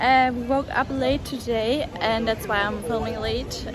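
Noticeable background noise surrounds a woman's voice with ordinary pitch variation. The sound is dry with no echo. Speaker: vlogger. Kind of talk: casual vlog chat. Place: street. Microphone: phone near.

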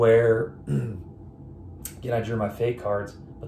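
A man talks with a fairly low pitch. His pitch varies in an ordinary way. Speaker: board game reviewer. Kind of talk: casual talk to camera. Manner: off the cuff.

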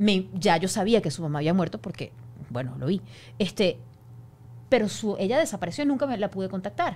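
Speaking at a fairly quick pace with long, frequent pauses, a woman with a medium pitch and vocal fry makes very wide pitch swings. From Venezuela. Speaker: news anchor. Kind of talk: casual chat. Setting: studio. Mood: emotional recounting of hardship. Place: studio. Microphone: studio mic.

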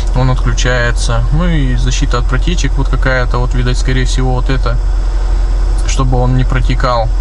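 Against noticeable background noise, a man talks at a fairly quick pace. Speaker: family vlogger. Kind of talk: casual vlog chat. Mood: relaxed, chatty. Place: car. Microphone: phone near.

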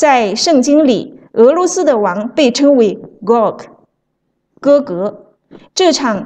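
Very slowly and with long, frequent pauses, a woman speaks in a high pitch with lively intonation and a dark, mellow tone. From mainland China. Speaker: author and evangelist. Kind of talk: reading aloud.

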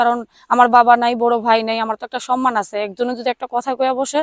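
High in pitch, a woman's voice comes through dry and close with no echo, in a very clean recording with a silent background. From Bangladesh, Tangail. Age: 19. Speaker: domestic worker seeking a marriage partner. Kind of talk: interview.

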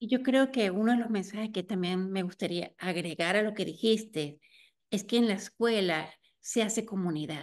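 Over a quiet background, a woman talks at a moderate pace. Her pitch variation is ordinary. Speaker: interviewer, community storytelling series host. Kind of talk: interview. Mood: warm, smiling. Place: home room. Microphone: video call.

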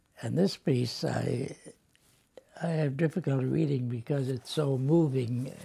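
Speaking at a very slow pace, a man has a somewhat breathy voice with a dark, mellow tone. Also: long, frequent pauses. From United States. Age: 80s+. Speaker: poet. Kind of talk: interview answer. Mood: reflective, moved. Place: home room.

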